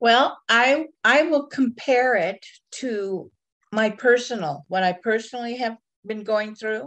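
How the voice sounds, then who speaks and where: A woman at a fairly high pitch, very slow pace and ordinary pitch variation, against a quiet background. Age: 70s. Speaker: spiritual mentor. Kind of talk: casual interview chat.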